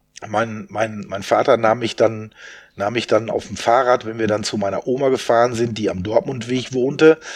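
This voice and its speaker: This is a plain, everyday voice at a moderate pace with ordinary pitch variation. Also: man, medium pitch for a man. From Westphalia, Germany (Soest). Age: 60s. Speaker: event organizer. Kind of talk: casual interview.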